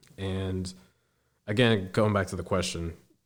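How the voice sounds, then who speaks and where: In a very clean recording with a silent background, a man speaks with a very deep, low pitch and monotone, flat intonation. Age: 20s. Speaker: air force service member. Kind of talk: interview.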